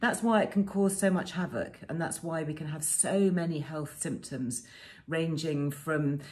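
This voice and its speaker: A woman speaks at a fairly slow pace in a fairly low, somewhat breathy voice. Her pitch varies in an ordinary way. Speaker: presenter. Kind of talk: informative talk to camera. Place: home room. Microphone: phone near.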